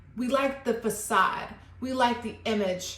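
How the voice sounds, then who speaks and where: A woman speaks with ordinary pitch variation. Audible room echo is present. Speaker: tarot reader. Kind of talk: tarot reading monologue. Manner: slow; reflective.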